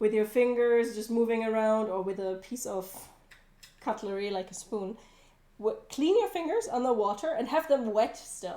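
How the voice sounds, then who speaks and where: A woman is speaking with a German accent. Her pitch is fairly high. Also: ordinary pitch variation, moderate pace. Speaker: cooking livestreamer. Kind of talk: casual livestream cooking chat.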